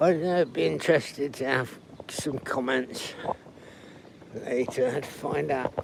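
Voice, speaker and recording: Quietly and at a fairly slow pace, a man speaks at a medium pitch over noticeable background noise. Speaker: travel livestreamer. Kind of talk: live stream walking tour.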